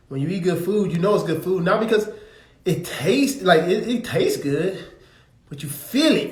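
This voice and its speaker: In an American accent, a man speaks with a high pitch and lively intonation at a moderate pace. Audible room echo surrounds his voice. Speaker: religious teacher. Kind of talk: live stream teaching. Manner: casual, conversational.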